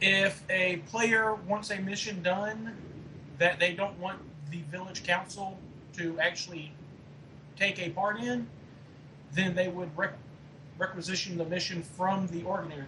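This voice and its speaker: A moderate pace broken by long, frequent pauses. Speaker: podcast co-host, forum staff member. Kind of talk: casual podcast Q&A.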